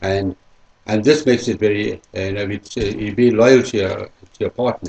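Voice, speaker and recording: A man's fairly low, somewhat breathy voice shows ordinary pitch variation. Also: fairly quick pace. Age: 60s. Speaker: interviewee, sales rep. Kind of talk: interview answers. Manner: hesitant, repetitive.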